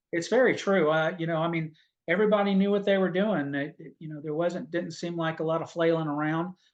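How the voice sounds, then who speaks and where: A man's fairly high voice at a fairly quick pace with fairly even intonation. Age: 60s. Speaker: army veteran. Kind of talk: interview storytelling. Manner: halting.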